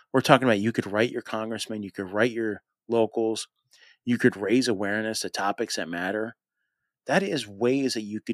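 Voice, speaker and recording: An unremarkable speaking voice moves at a moderate pace, dry and close with no echo, on a very clean recording with a silent background. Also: man. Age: 40s. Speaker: law enforcement veteran and podcaster. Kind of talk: interview.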